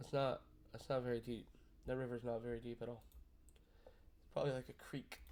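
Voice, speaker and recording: The speaker moves at a fairly quick pace. Long pauses come often. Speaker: gaming youtuber. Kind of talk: reaction video commentary. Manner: loud; animated.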